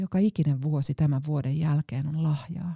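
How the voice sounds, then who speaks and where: Very slow and somewhat breathy, a woman speaks in a very deep, low pitch with a dark, mellow tone. The sound is dry and close with no echo. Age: 40s. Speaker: pastor. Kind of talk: scripted narration. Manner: reflective.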